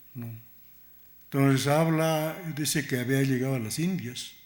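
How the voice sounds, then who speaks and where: With a non-native accent, a man talks at a very slow pace in a fairly high pitch with ordinary pitch variation and audible room echo. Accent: non-native Spanish, self-described. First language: Aymara (speaking Spanish). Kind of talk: conference talk. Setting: museum lecture hall with audience.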